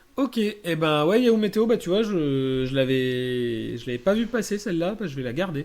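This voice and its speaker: A man's high voice swings very widely in pitch as he talks at a moderate pace. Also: hardly any pauses. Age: 30s. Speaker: podcast host. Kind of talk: casual chat.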